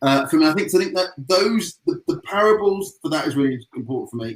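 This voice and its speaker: Lively intonation and a moderate pace from a man with a British accent. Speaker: agency president. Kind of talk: panel discussion. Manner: mumbling; halting.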